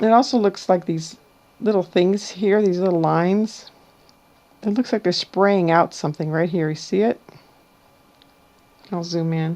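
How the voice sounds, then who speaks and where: Her medium-pitched voice has a dark, mellow tone and ordinary pitch variation. The woman speaks at a moderate pace with long, frequent pauses. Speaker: amateur weather video maker. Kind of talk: screen-share tutorial. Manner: casual.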